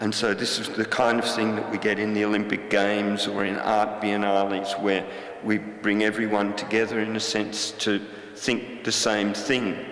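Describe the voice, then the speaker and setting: With an Australian accent, a man speaks at a moderate pace and a fairly low pitch in a monotone, flat intonation. Audible room echo and noticeable background noise are present. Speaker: artist. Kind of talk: talk to an audience. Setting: stage with audience. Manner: halting.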